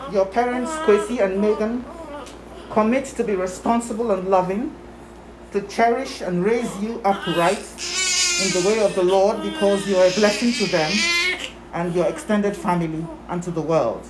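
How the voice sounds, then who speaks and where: Moderate speed and ordinary pitch variation under noticeable background noise. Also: woman, medium pitch for a woman. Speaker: grandmother. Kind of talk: blessing. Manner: solemn; formal.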